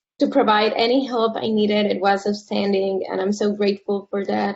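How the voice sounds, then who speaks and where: A woman with a Spanish accent. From Puerto Rico. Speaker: graduate architecture student. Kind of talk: student testimony.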